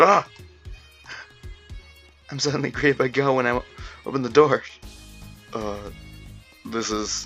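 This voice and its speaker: Over music in the background, a man talks at a moderate pace with long, frequent pauses. His pitch is medium with ordinary variation, and his loudness swings a lot. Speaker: visual novel reader. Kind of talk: read story with character voices. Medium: read story.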